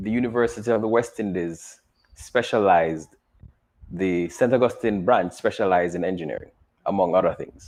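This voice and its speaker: A man with a Jamaican accent speaks at a fairly low pitch. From Jamaica, Kingston. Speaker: engineer and teacher. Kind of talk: interview.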